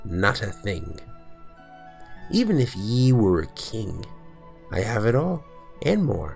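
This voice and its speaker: A put-on character voice speaks at a very slow pace. Clear music plays in the background. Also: man. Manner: solemn, persuasive.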